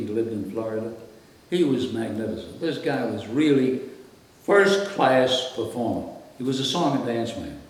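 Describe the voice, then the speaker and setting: A man in an American accent at a fairly slow pace, with audible room echo. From Brooklyn, New York (Brownsville). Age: 80s+. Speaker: radio host. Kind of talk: interview.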